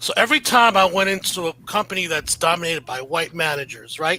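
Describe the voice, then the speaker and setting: Speaking at a fairly quick pace in an animated tone, a man with a high pitch and ordinary pitch variation is recorded with a dry, close sound with no echo, though noticeable background noise is present. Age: 60s. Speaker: panelist, business consultant. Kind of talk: panel discussion.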